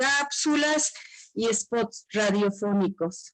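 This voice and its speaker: A woman at a fairly high pitch and a very slow pace, dry and close with no echo. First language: Tzotzil (speaking Spanish). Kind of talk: seminar talk.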